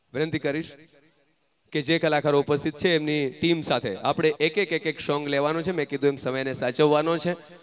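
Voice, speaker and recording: A normal speaking voice with fairly even intonation over light background noise. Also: man, fairly high pitch for a man. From Gujarat. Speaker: event emcee. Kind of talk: stage announcements. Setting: stage with audience. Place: stage. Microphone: handheld.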